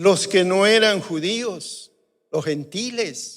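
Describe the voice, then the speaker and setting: Lively in intonation, a man speaks at a very slow pace amid audible room echo. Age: 60s. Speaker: pastor. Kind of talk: sermon. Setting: church.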